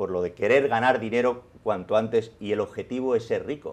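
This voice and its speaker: Moderately paced speech in a Madrid accent. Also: man. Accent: Castilian Spanish (Madrid). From Spain, Madrid. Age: 50s. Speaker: journalist and author; journalist. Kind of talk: interview. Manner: animated. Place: studio. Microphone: lapel.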